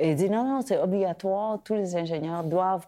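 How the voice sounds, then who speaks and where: Here a woman talks at a moderate pace in a plain, everyday voice, fairly low in pitch. The recording is very clean, with a silent background. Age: 50s. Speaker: podcast host. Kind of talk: interview.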